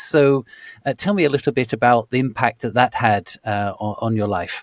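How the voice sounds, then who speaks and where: A man talks at an unhurried, moderate speed, his voice sounding dry and close with no echo at all. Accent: British. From Britain. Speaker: podcast host. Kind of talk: interview. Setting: podcast. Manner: stammering.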